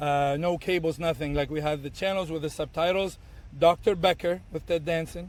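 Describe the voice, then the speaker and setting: Fairly even intonation and a moderate speed from a man with a fairly high pitch. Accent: Arabic. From Tunisia. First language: Arabic. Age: 30s. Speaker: bartender and bar owner. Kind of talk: podcast interview. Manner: halting, many fillers and repeats.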